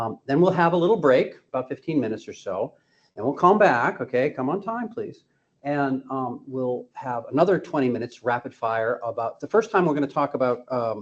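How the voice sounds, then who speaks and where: A man with a plain, everyday voice and an American accent talks at a fairly high pitch and a fairly quick pace, with lively intonation. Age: 60s. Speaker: physician and drug regulatory consultant giving a seminar. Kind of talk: lecture.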